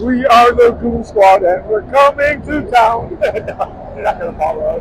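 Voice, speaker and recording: Over noticeable background noise, a man speaks very slowly, the sound dry with no echo. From Oahu, Hawaii. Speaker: homeless man. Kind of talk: interview answer. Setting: outdoors. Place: street. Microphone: phone near.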